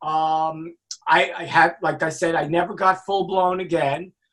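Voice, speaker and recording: The voice carries a New York accent. It moves at a fairly slow pace. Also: man. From New York, Brooklyn. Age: 60s. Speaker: music industry executive and author. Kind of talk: casual interview chat.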